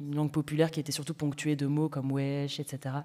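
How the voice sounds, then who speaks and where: Very fast and very deep, a woman speaks in a dark, mellow tone. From Paris banlieue, Seine-Saint-Denis (93). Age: young. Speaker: novelist. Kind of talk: festival panel discussion. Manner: halting, many fillers.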